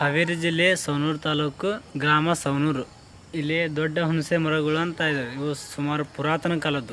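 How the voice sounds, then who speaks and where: Over noticeable background noise, a man talks at a fairly high pitch in a monotone, flat delivery. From North Karnataka (Haveri area). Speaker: religious studies student at a monastery. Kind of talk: interview.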